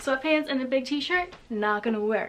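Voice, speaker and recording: Through noticeable background noise, a woman with a high pitch speaks at a very slow pace with ordinary pitch variation. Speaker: lifestyle and photography YouTuber. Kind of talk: casual vlog; voiceover narration. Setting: at home; outdoors.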